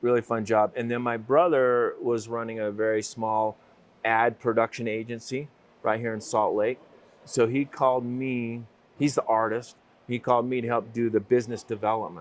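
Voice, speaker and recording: A man's medium-pitched voice with an American accent, flat and monotone, at a moderate pace. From Utah, US. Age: 60s. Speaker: business owner. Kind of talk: interview.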